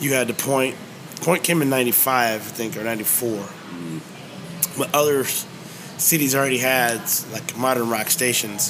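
With an American accent and medium pitch, a man speaks at a fairly slow pace with fairly even intonation and long, frequent pauses over noticeable background noise. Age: 50s. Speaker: musician and restaurant owner. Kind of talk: interview. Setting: hot dog shop.

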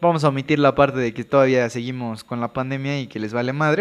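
Speaking very fast, the man keeps his voice at a mid-range pitch. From Veracruz, Mexico. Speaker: podcast co-host, medical student. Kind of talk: casual chat.

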